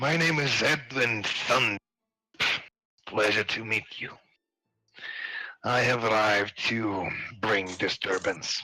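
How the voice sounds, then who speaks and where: This is a raspy, put-on character voice. It moves at a fairly slow pace with long, frequent pauses. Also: man, medium pitch for a man. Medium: actual play. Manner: formal, grave.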